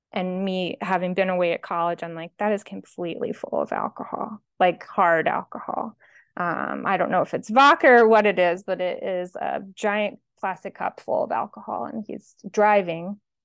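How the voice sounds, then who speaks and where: A woman's plain, everyday voice with an American accent, medium pitch, ordinary pitch variation and a moderate pace against a quiet background. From New Jersey, Atlantic City area. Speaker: grief survivor, educator. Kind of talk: interview testimony.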